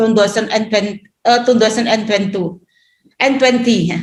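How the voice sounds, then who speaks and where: A woman's high-pitched voice with an Indonesian accent and fairly even intonation. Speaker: regional government head. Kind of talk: conference presentation. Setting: webinar. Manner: halting.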